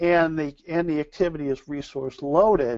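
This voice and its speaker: This man has an unremarkable speaking voice with an American accent. His pitch is fairly high, his pace moderate, with ordinary pitch variation. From US, Buffalo NY. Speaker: scheduling consultant presenter. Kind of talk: webinar lecture. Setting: online webinar.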